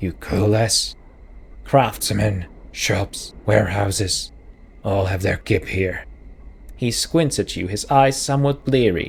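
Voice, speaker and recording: A man's gruff, raspy put-on character voice, fairly low in pitch, at a fairly slow pace with long, frequent pauses. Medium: actual play. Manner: gruff, suspicious.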